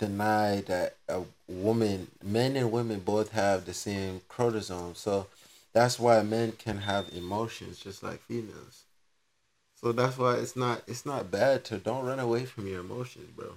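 A man's fairly low voice with fairly even intonation at a fairly slow pace. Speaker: podcast co-host. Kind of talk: casual chat. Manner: laid-back, slangy.

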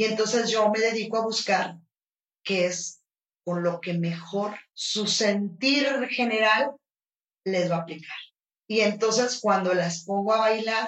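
Long, frequent pauses break up a woman's speech, which moves at a very slow pace. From northern Mexico, Los Mochis. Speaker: flamenco dance teacher. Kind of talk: interview conversation. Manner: animated.

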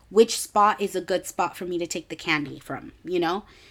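Speaking at a fairly quick pace in an animated tone, a woman with a fairly low voice shows ordinary pitch variation in a very clean recording with a silent background. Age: 20s. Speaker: podcast host. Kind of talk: casual monologue.

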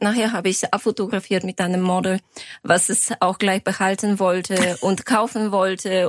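A woman talks at a moderate pace in a monotone, flat delivery, with a dry, close sound and no echo. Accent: Bulgarian. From Bulgaria, Sofia. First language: Bulgarian (speaking German). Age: 40s. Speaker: lawyer and fashion designer. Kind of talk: interview. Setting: studio.

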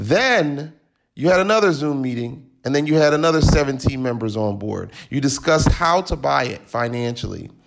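A plain, everyday voice, a man's, fairly high-pitched, with an American accent, lively intonation and a fairly slow pace. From Philadelphia. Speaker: podcast host. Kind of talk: interview.

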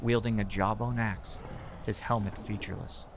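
A man speaks in a dramatic tone at a moderate pace, his pitch fairly low. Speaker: narrator. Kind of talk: fantasy story narration, dramatic reading of a scripted tale. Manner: dramatic, vivid, gripping storytelling pace.

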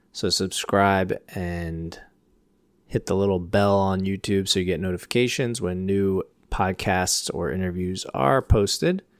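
On a very clean recording with a silent background, a man speaks at a moderate pace in a normal speaking voice of fairly low pitch. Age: 30s. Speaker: podcast host. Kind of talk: casual interview chat.

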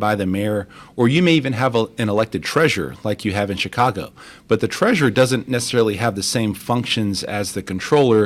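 A man with an American accent talks at a fairly quick pace in an unremarkable speaking voice, his medium pitch moving with ordinary variation. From Texas (Crosby, Houston area) and Mexico. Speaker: deputy city controller. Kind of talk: radio interview.

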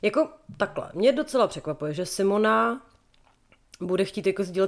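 The tone is animated and the pace fairly quick. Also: woman. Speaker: podcast co-host. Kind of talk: casual chat.

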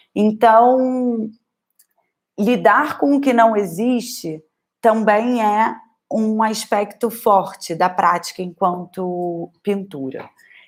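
Delivery is very slow, and the pitch moves in an ordinary way. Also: woman, fairly high pitch for a woman. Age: 20s. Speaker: painter and art teacher. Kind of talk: casual talk on a livestream. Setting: livestream.

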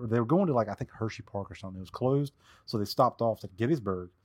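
Dry and close with no echo, this very clean recording with a silent background captures a man with a Southern US accent speaking at medium pitch with ordinary pitch variation. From US South. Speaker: Civil War expert. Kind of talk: casual chat.

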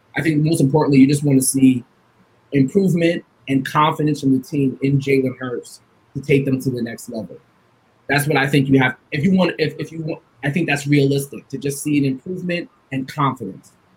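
A man with an American accent talks at a fairly quick pace, his intonation fairly even and his voice somewhat breathy. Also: fairly high pitch for a man. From Long Island, New York. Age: 30s. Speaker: sports journalist and podcaster. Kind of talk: casual sports talk show interview.

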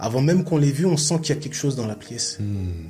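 Somewhat breathy, a man speaks at a very fast pace. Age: 50s. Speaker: sports coach. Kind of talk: interview. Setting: studio. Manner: talkative, fluent.

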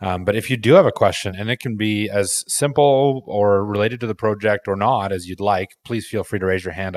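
In a dry, close sound with no echo, a man with an ordinary speaking voice and a fairly low pitch talks at a fairly quick pace with hardly any pauses and ordinary pitch variation. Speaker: AMA host. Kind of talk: hosting AMA. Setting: online audio space.

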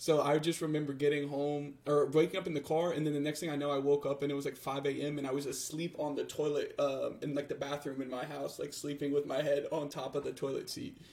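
With an American accent, a man talks fairly quickly in a somewhat breathy, fairly high voice and a flat monotone. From United States. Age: 20s. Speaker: podcast co-host. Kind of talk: casual chat.

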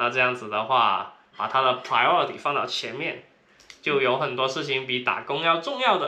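Speaking at a medium pitch, a man keeps a moderate pace and shows ordinary pitch variation. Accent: strong Cantonese. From Guangdong, China. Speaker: podcast co-host, traveler. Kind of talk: casual chat.

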